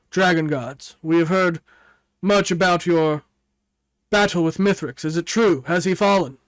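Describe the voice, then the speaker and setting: A man puts on a character voice at a high pitch, moving at a moderate pace with long, frequent pauses on a very clean recording with a silent background. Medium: actual play. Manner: bold, challenging.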